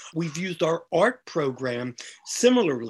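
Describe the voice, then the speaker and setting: This is a man with an American accent. His pitch is high. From Philadelphia. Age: 70s. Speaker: LGBT activist and newspaper publisher. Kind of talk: casual interview chat.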